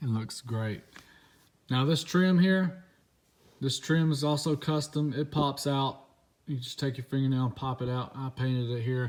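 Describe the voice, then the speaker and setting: Long, frequent pauses break up a man's speech, delivered at a fairly high pitch. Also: ordinary pitch variation. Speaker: car modding youtuber. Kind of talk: casual walkaround tutorial. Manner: fast.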